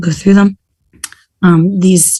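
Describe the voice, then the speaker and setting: A woman speaks with a dark, mellow tone and somewhat breathy voice. Her intonation is fairly even. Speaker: professor, curriculum committee chair. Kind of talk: committee meeting presentation. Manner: hesitant, many fillers.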